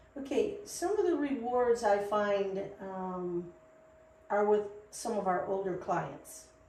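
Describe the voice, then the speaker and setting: A woman of medium pitch speaks very slowly with lively intonation. Audible room echo and noticeable background noise fill the recording. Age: 60s. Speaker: CBD shop co-founder. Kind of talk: podcast interview.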